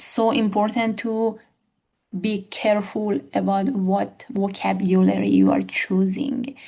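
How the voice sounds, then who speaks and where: Here a woman speaks with a non-native accent. Her pace is very slow. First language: not English. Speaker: academic educator. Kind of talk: tutorial. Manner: halting.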